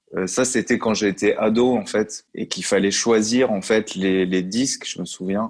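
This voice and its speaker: In a very clean recording with a silent background, a man speaks at a fairly slow pace. His voice is fairly low, with fairly even intonation. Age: 30s. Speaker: music industry consultant and trainer. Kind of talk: interview. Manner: hesitant, many fillers.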